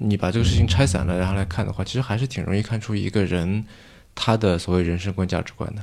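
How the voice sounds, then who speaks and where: The intonation here is fairly even. The words come at a very fast pace. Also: man, fairly low pitch for a man. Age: young. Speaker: venture capitalist and podcast host. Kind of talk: casual interview conversation. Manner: deadpan.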